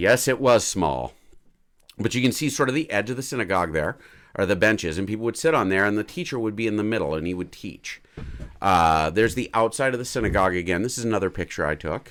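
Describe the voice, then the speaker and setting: This man speaks very fast. His pitch is fairly low. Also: lively intonation, very clean recording, silent background. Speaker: pastor. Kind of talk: casual Bible history teaching on a livestream.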